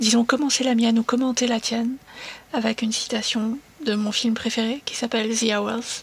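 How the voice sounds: With fairly even intonation, the text comes in a natural reading voice.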